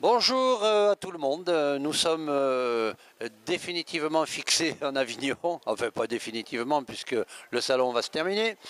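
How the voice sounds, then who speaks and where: This man's fairly high voice swings very widely in pitch. His pace is fairly slow. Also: dry, close sound with no echo. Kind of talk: interviewer at a trade fair.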